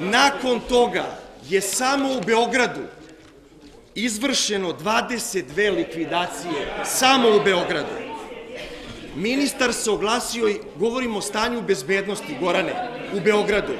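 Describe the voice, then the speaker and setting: With crowd noise in the background, a man speaks at a fairly slow pace in a high pitch with ordinary pitch variation. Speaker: city councillor, politician. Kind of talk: parliamentary speech. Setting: city assembly chamber. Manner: insistent, repeatedly interrupting. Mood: indignant, confrontational. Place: hall. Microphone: podium.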